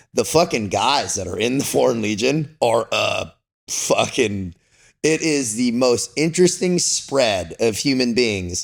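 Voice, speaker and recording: With a Californian accent, a man talks in very wide pitch swings. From Southern California. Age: 40s. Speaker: former Navy SEAL and Foreign Legionnaire. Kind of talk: podcast interview. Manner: casual, slangy; talkative.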